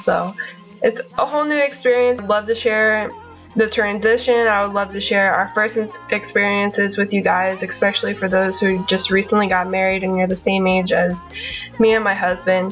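Faint music sits in the background as a woman with an American accent speaks at a moderate pace with fairly even intonation. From Florida. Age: 20s. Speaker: military wife. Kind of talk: casual talk to camera. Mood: friendly, upbeat. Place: home room. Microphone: webcam.

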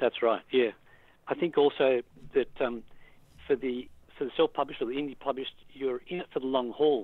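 A man with an Australian accent, medium-pitched, at a fairly quick pace with fairly even intonation and long, frequent pauses. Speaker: author. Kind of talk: interview. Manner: hesitant, many fillers.

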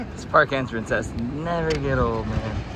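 Crowd noise fills the background as a man speaks. The sound itself is dry, with no echo. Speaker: vlogger. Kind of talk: casual vlog chat. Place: street. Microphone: phone near.

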